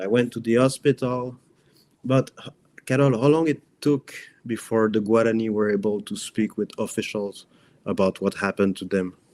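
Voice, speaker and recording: A man with a non-native accent talks at a moderate pace and medium pitch, with ordinary pitch variation. His loudness swings a lot, and the sound is dry and close with no echo. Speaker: journalist. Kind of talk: interview. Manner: halting.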